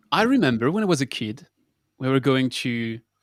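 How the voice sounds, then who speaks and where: Recorded very cleanly with a silent background and a dry, close sound with no echo, a man with a French accent talks at a moderate pace. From France. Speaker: water engineer co-host. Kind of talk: casual discussion.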